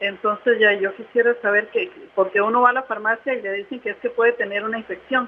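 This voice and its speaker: A woman speaks with fairly even intonation. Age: 60s. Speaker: caller. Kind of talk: call-in question.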